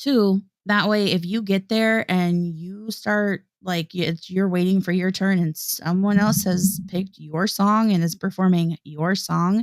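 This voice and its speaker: A woman with a Midwestern accent talks at a fairly slow pace with hardly any pauses, in a dry, close sound with no echo. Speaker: singer and livestream co-host. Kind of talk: casual chat. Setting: livestream.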